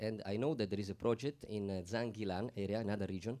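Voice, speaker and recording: The voice has a dark, mellow tone and an Italian accent. It moves at a fairly quick pace with ordinary pitch variation. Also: man. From Italy. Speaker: panel speaker. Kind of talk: panel discussion. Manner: halting.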